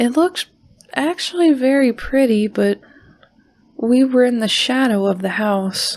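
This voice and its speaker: Her high voice rises and falls with lively intonation as this woman talks at a fairly slow pace, leaving long, frequent pauses. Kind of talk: horror podcast narration reading listener stories. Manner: soft-spoken.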